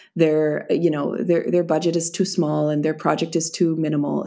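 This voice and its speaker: Over a very clean recording with a silent background, a woman speaks at a moderate pace in a dark, mellow tone with a fairly low pitch. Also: hardly any pauses. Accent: Philadelphia. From US, Philadelphia. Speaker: DEI expert and author. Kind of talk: interview. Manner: halting, repeats words.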